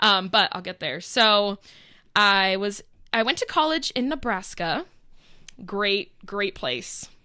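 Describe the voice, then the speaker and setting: Loud and bright with a sharp tone, a woman talks at a very slow pace with long, frequent pauses and very wide pitch swings. The recording is very clean, with a silent background. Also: medium pitch for a woman. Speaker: podcast co-host. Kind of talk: casual chat.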